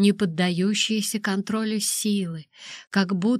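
Fairly even intonation in a natural reading voice

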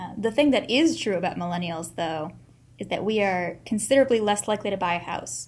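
Speaking at a fairly quick pace, a woman with a medium pitch and vocal fry swings her pitch very widely. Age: 20s. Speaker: podcast host and librarian. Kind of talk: casual chat. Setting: home-recorded podcast with a small USB microphone.

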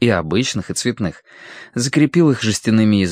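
What you hear is someone doing plain reading aloud.

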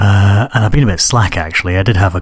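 Over faint background noise, a man talks at a low pitch with ordinary pitch variation.

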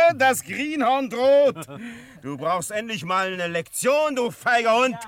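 In a put-on character voice, a man talks at a slow pace with an extremely high pitch and big pitch swings.

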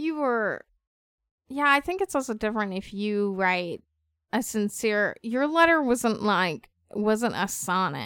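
A woman in a normal speaking voice, with lively intonation, on a very clean recording with a silent background. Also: fairly high pitch for a woman, fairly slow pace. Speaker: podcast co-host. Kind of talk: casual podcast chat about a TV episode.

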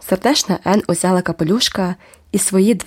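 The speaker reads aloud. The delivery is plain reading aloud.

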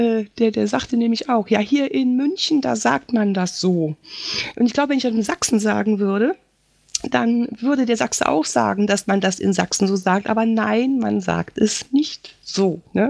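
Fairly high-pitched woman's voice, fairly slow, with lively intonation and very even loudness. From Eifel, western Germany. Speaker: podcaster. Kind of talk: live podcast monologue. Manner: chatty, with many fillers.

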